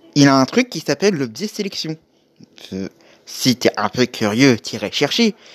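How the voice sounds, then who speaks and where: Fairly high-pitched, a man speaks at a fairly slow pace with very wide pitch swings and long, frequent pauses. The sound is dry and close, with no echo. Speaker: podcast host advising online creators. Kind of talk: solo monologue podcast. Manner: stuttering, hesitant.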